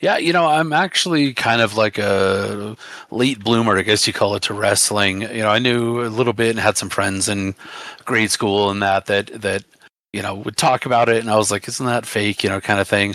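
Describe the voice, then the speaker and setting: At a moderate pace, a man speaks in a bright, sharp tone, his pitch fairly low with ordinary variation. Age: 30s. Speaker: wrestling promoter. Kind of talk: interview. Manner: halting.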